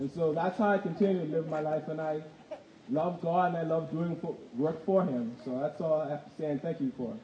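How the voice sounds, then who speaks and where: A man speaks at a fairly quick pace with a fairly high pitch. His pitch variation is ordinary, and noticeable background noise is present. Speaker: church member giving testimony. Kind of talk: testimony.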